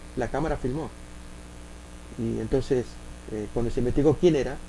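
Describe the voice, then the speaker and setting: A man with an Argentine accent at a fairly quick pace, amid audible room echo. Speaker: preacher. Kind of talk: sermon. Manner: halting.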